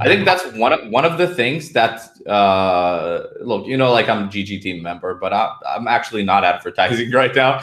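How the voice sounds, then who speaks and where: With hardly any pauses and lively intonation, a man speaks at a moderate pace and medium pitch over noticeable background noise. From Romania. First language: Romanian. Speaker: poker player and coach. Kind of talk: podcast interview.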